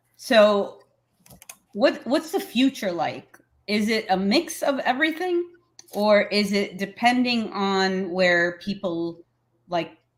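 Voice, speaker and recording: Loud and very slow, a woman speaks at a medium pitch with very wide pitch swings and long, frequent pauses. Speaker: show host. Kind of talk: casual chat.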